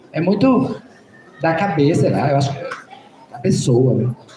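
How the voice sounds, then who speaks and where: Very wide pitch swings and big swings in loudness come through audible room echo and noticeable background noise. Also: man. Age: 60s. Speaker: Candomblé priest. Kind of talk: school panel Q&A talk.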